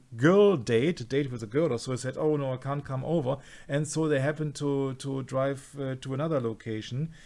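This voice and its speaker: A man speaks with a non-native accent. His pitch is fairly high and his intonation fairly even. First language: not English. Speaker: conspiracy researcher. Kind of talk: casual discussion. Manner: halting, many fillers.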